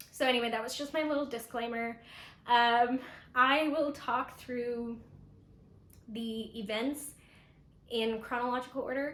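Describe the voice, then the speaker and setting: A woman's high-pitched voice with long, frequent pauses and audible room echo. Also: fairly even intonation, fairly slow pace. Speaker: knitter and pattern designer vlogger. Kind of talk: casual vlog talk to camera.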